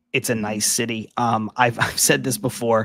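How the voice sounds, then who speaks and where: Quiet male speech at a medium pitch with monotone, flat intonation. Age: 30s. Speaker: baseball podcast co-host. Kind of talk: casual chat. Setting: at home, early morning live stream. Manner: quiet and toned down.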